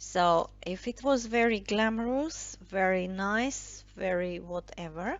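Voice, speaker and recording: A woman with a medium pitch talks at a very slow pace with hardly any pauses and ordinary pitch variation. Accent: non-native. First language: not English. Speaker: tarot and I Ching card reader. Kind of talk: tarot reading monologue. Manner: halting, many fillers.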